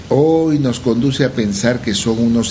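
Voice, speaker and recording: Audible room echo joins noticeable background noise in this clip. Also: man. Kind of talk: casual radio chat.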